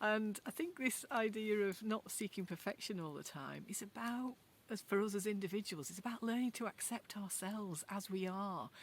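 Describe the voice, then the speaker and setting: Speaking in a strong Yorkshire accent, a woman talks at a moderate pace with hardly any pauses. Her voice is somewhat breathy, medium in pitch, with ordinary pitch variation. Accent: Yorkshire, fairly strong. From Yorkshire, northern England. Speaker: video blogger. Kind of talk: casual chat. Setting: outdoors in a garden. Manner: conversational, unscripted.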